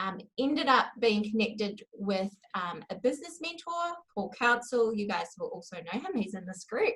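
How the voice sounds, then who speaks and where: A fairly high-pitched woman with a New Zealand accent, moderate pace, very wide pitch swings and hardly any pauses. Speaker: copywriter. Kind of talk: interview. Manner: hesitant, many fillers.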